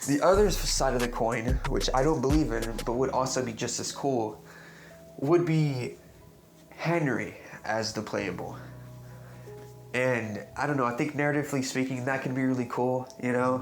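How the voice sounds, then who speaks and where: With music in the background and audible room echo, a man talks at a moderate pace in a medium pitch. His pitch variation is ordinary, and he leaves long, frequent pauses. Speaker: YouTuber, game theory commentator. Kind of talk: video essay monologue. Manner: halting, many false starts.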